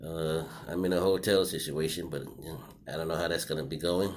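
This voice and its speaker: The room echo is audible. A man talks at a moderate pace. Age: 60s. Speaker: vlogger. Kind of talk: personal video commentary. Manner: casual with many fillers.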